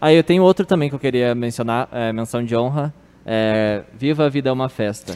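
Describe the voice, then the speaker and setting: A plain, everyday voice speaks at a fairly quick pace with ordinary pitch variation. The sound is dry and close, with no echo. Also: man, medium pitch for a man. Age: 20s. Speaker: office worker and film fan. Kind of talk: casual chat.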